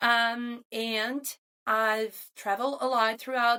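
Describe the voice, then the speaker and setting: A woman with a Portuguese accent speaks very slowly in a bright, sharp tone and a monotone, flat delivery. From Brazil. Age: 30s. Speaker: podcast co-host, mother and doctoral student. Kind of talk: casual chat.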